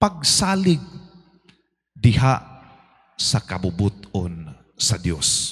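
Speaking very slowly, the voice comes through with a somewhat breathy quality. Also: man. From Philippines. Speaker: priest. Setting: church. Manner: formal; earnest, steady preaching with rhetorical questions. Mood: earnest, devotional. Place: church. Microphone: handheld.

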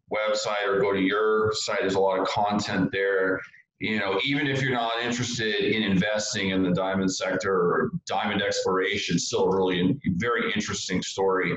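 A man with a fairly low voice speaks at a moderate pace, his loudness very even and his intonation fairly even. He barely pauses, and the room echo is audible. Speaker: market commentator guest. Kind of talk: interview answer. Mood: relaxed, opinionated. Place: home room. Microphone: video call.

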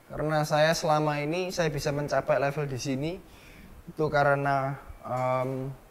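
A man speaks with a Javanese accent. His pitch is fairly high. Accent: Javanese-accented Indonesian (medok). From Surabaya, East Java; East Java. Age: young. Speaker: entrepreneur; interviewee. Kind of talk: interview. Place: home room.

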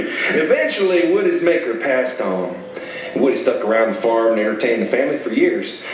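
Moderate pacing from a man, light noise in the background and noticeable echo in the room. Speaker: storyteller performer. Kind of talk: storytelling performance. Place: stage. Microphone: camera far.

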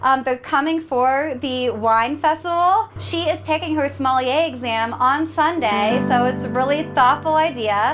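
Clear music plays in the background as a woman with a high pitch speaks at a moderate pace. Her pitch varies in an ordinary way. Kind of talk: casual vlog chat.

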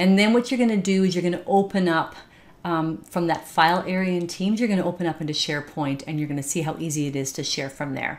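The intonation is lively. This woman speaks at a very fast pace. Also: fairly low pitch for a woman. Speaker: software trainer. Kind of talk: tutorial. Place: home room. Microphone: webcam.

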